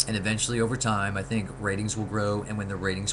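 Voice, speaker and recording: A man's very fast speech in a monotone, flat intonation. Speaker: vlogger, soap opera fan. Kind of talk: casual webcam monologue. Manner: hesitant, many fillers.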